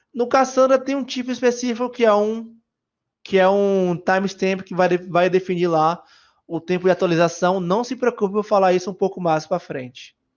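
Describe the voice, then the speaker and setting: The man's high voice moves at a moderate speed, its pitch shifting in an ordinary way. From Brazil, Bahia. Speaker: software engineer speaker. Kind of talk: conference talk. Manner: casual, hesitant with fillers.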